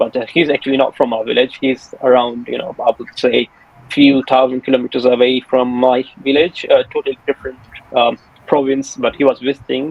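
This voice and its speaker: Over noticeable background noise, a man at medium pitch speaks fairly quickly with flat, monotone intonation. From Pakistan. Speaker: test candidate. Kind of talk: mock speaking exam conversation. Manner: hesitant, many fillers.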